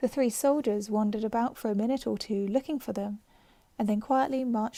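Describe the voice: Someone does some plain reading aloud.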